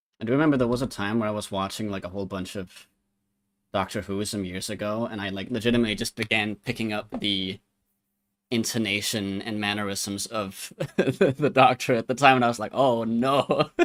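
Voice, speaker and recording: A man with a fairly low voice talks at a fairly quick pace on a very clean recording with a silent background. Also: ordinary pitch variation. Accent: American. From Denmark. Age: 20s. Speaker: art streamer. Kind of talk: casual livestream chat while drawing. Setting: live stream.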